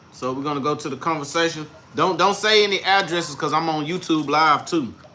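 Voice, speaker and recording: There is noticeable background noise behind a man whose voice sits fairly high in pitch. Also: ordinary pitch variation. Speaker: real estate investor teaching deal analysis. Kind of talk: tutorial. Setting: livestream. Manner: slow, deliberate.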